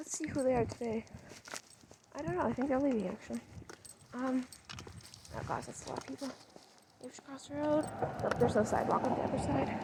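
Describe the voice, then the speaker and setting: A woman talks quietly at a very fast pace yet with long, frequent pauses, her high pitch showing ordinary variation. Her loudness swings widely, and background noise is noticeable. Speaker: podcast host. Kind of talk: casual monologue while walking dog. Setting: outdoors on a walk. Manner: halting, many fillers and restarts; quieter near people.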